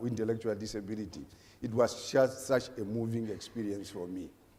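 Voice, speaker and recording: A man's dark, mellow tone at a medium pitch and a moderate pace. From Namibia. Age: 50s. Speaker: government sports official. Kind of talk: panel discussion.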